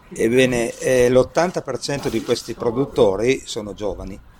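Background noise is noticeable. The talking is fairly slow, its pitch varying in an ordinary way. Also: man. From Piedmont, Italy (Asti area). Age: 50s. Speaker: mayor. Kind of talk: interview. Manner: halting.

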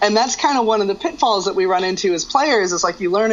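Over noticeable background noise, a woman speaks very fast at a medium pitch. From Albuquerque, New Mexico. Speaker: guitar teacher. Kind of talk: interview.

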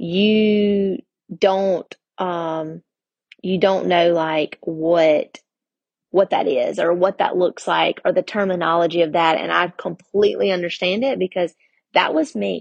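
At a fairly slow pace, a woman with a medium pitch talks in an ordinary speaking voice, her pitch varying in an ordinary way, the sound dry and close with no echo. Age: 30s. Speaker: podcast host. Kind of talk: personal storytelling monologue.

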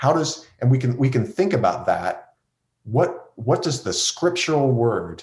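Lively intonation runs through this man's speech. He sounds somewhat breathy. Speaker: seminary professor and pastor. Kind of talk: interview conversation.

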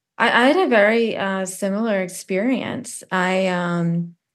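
Against a quiet background, the speaker goes at a very slow pace with fairly even intonation. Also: woman. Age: 40s. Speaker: cancer patient. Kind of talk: personal testimony.

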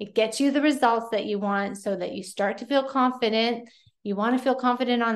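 Here a woman speaks in an unremarkable speaking voice. Her pitch is fairly high, and her intonation stays fairly even. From Pennsylvania. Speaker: podcast host and nutrition coach. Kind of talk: solo podcast tips talk. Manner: casual, conversational.

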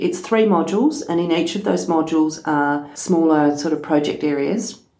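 Fairly low in pitch with ordinary variation, a woman speaks at a moderate pace with an Australian accent. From Western Australia, rural wheatbelt. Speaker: farm safety organisation executive officer. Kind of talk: podcast interview.

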